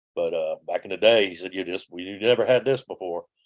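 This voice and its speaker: A man with a New Orleans accent is heard in a dry, close sound with no echo. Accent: New Orleans Southern US. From New Orleans, US South. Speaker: former tour bus driver. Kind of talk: interview storytelling. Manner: halting, many fillers and restarts.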